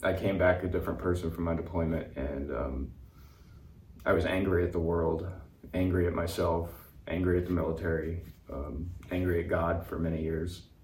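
A man's very deep, low voice, monotone and flat, somewhat breathy, at a moderate pace with long, frequent pauses. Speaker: veteran and speaker. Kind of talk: interview conversation.

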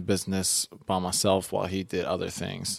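This recording is very clean, and nothing is heard behind the voice. The man has an American accent and a fairly low pitch. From US, West Philadelphia. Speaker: real estate agent. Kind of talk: casual interview. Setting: office.

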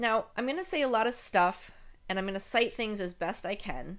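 Recorded very cleanly against a silent background, a woman talks at a moderate pace and medium pitch in a plain, everyday voice. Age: 50s. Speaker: podcast host. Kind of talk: personal storytelling monologue.

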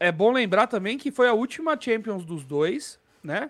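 The speech comes at a fairly slow pace. The recording is very clean, with a silent background. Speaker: football podcast host. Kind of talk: casual chat. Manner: animated.

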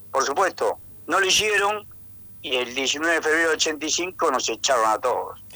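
With a normal speaking voice, a man talks at a fairly high pitch and a fairly slow pace, his intonation lively and his loudness very even. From Argentina, Tucumán. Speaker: economist, university professor. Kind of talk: radio interview.

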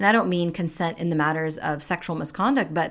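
A woman's fairly low-pitched voice comes through on a very clean recording, with a silent background. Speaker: podcast host. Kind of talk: casual chat.

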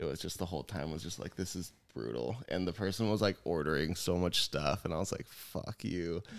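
Very deep and low, this man's voice has vocal fry, ordinary pitch variation and a fairly quick pace. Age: 30s. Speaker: podcast co-host and jiu jitsu academy owner. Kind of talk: casual chat. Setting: studio with headphones and mics. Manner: louder than co-host.

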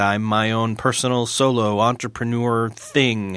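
In a very clean recording with a silent background, a man with a General American accent speaks at a medium pitch with a bright, sharp tone. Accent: general American, flat. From US New York state. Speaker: podcast host. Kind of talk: interview, casual conversation.

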